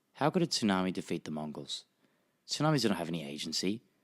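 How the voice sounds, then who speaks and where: Speaking at a fairly quick pace, a man with an Australian accent has a very deep, low pitch. The very clean recording has a silent background and a dry, close sound with no echo. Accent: Australian, nasal. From Japan (Tokyo), Australian family. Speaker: history podcaster. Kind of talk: podcast narration.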